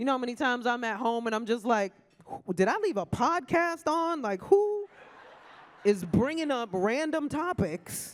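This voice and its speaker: Using a New York accent, a woman speaks at a high pitch and a moderate pace. Her tone is animated, her pitch swinging very widely. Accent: New York (Bronx). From New York, South Bronx. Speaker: comedian hosting an awards ceremony. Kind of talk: stand-up. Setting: stage with audience at a luncheon.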